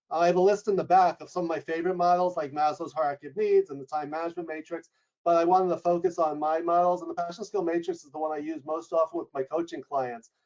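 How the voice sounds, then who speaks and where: Loud and with hardly any pauses, a man with a New York accent rattles along at a very fast pace in a high voice with fairly even intonation. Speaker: leadership coach and professor. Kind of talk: webinar interview.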